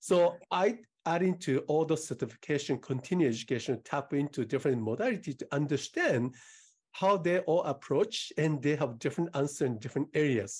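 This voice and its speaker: This man has a Japanese accent and a fairly high, somewhat breathy voice. He talks at a fairly quick pace with lively intonation against a quiet background. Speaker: integrative medicine doctor. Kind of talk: interview conversation.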